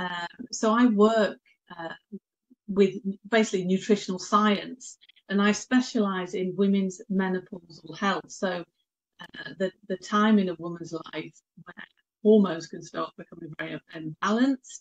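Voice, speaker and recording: A somewhat breathy woman with a British accent, moderate pace, ordinary pitch variation, and long, frequent pauses, in a dry, close sound with no echo. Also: big swings in loudness. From Britain. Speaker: nutritional therapist. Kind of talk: interview. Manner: hesitant, many fillers.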